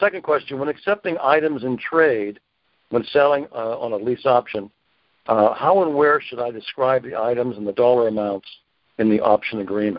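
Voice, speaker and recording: With an American accent, a man uses an ordinary speaking voice at medium pitch, speaking at a moderate pace with lively intonation. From Pennsylvania. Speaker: caller. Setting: phone call.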